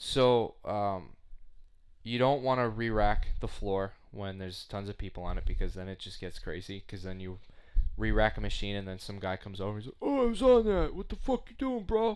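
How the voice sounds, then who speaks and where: A man at a fairly quick pace with a Long Island accent and big swings in loudness. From US Northeast, Long Island, New York. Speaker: podcast co-host, gym worker. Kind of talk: casual chat.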